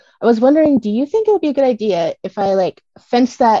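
In a dry, close recording with no echo, a woman with an American accent talks at a moderate pace in a dark, mellow tone with ordinary pitch variation. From US Pacific Northwest. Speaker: homesteader seeking coaching. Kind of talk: coaching call. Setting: call with host.

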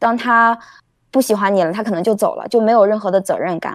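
A woman's fairly high voice in a northern Chinese accent, fairly quick pace and ordinary pitch variation, on a very clean recording with a silent background. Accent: noticeable retroflex (northern Mandarin). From China, Shandong (Jinan) then Beijing. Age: 30s. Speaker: caller on live stream. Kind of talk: casual chat.

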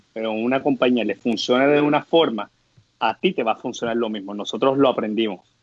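A man speaks with ordinary pitch variation. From Puerto Rico, Guayama area. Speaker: startup co-founder. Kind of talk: interview conversation. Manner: hesitant, many fillers.

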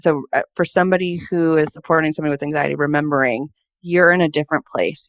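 A woman talks at a very fast pace with an American accent and a fairly low pitch. The recording is very clean, with a silent background and a dry, close sound with no echo. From California. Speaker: mental health counselor. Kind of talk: interview conversation.

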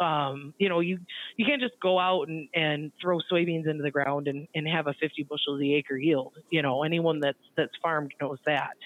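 A woman with an Upper Midwest US accent speaks at a very deep, low pitch. Her intonation is fairly even and her pace moderate. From central Michigan. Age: 30s. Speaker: grain market analyst. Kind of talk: interview.

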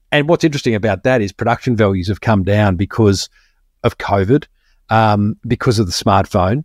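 A man with an Australian accent speaks at a fairly quick pace, fairly low in pitch with ordinary pitch variation. The sound is dry and close with no echo, on a very clean recording with a silent background. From Melbourne, Australia. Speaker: marketing podcast host. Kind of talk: casual interview chat.

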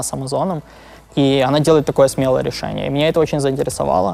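A man's fairly high voice at a very fast pace. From Ukraine (Lviv). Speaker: product manager and startup co-founder. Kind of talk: interview. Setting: office. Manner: halting.

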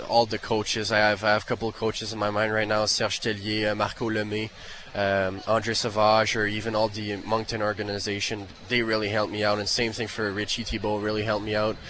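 A man talks at a very fast pace in a monotone, flat intonation, his pitch fairly low. Noticeable background noise runs underneath. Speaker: drafted hockey player. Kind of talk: interview. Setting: arena radio row.

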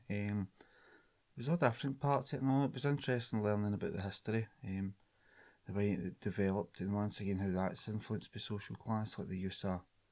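With a strong Scottish accent, a man speaks at a very fast pace and a fairly low pitch, using ordinary pitch variation on a very clean recording with a silent background. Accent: broad Scottish. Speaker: linguistics student. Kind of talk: casual chat.

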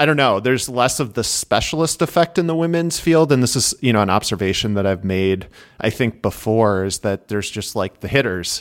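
A man with a Midwestern US accent, lively intonation, and a fairly quick pace on a very clean recording with a silent background. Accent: Midwestern US, nasal. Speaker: cyclocross analyst and writer. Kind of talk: casual chat.

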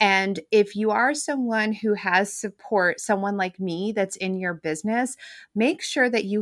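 It is a plain, everyday voice at a moderate pace with ordinary pitch variation. The recording is very clean with a silent background. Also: woman. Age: 40s. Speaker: bookkeeper and money coach. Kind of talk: interview.

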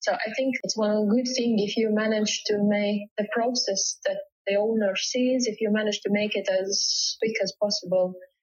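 A woman with a Latvian accent at a fairly high pitch, moderate pace and fairly even intonation, with hardly any pauses. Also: very even loudness. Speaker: home stager. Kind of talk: interview conversation. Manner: halting.

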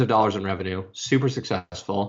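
A man talks in an unremarkable speaking voice with fairly even intonation. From Arizona, US. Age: 30s. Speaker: social media consultant. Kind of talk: interview.

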